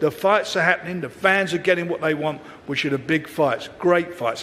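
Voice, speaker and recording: A man speaks in an animated tone. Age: 70s. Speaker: boxing promoter. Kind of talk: press conference speech. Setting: press conference.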